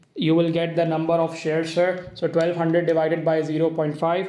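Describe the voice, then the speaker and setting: High-pitched male voice at a fairly quick pace, monotone and flat, with audible room echo. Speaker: accounting teacher. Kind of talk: tutorial.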